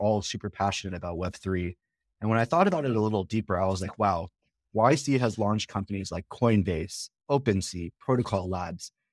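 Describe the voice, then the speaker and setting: A man with an ordinary speaking voice and a fairly low pitch talks at a fairly quick pace with ordinary pitch variation, in a very clean recording with a silent background and a dry, close sound with no echo. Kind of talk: casual interview chat.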